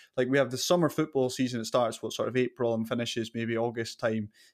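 A very fast pace over a quiet background. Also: man. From Caithness, far north Scotland. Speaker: podcast host. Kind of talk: casual interview chat.

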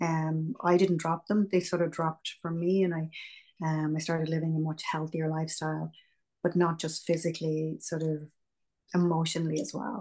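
A woman with an Irish accent, fairly low in pitch, with a dark, mellow tone, fairly even intonation and a moderate pace. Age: 50s. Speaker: meditation and yoga teacher. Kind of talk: interview.

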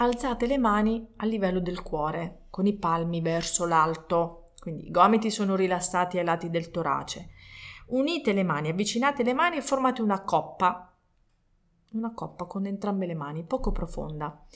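A woman speaks at a moderate pace and medium pitch. Her intonation is lively. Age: 40s. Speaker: meditation teacher. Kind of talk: tutorial. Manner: halting.

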